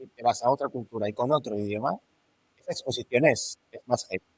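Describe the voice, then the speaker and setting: Recorded with a dry, close sound and no echo, a man speaks at a fairly quick pace. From Catalonia, Spain. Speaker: entrepreneur. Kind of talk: casual chat. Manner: halting.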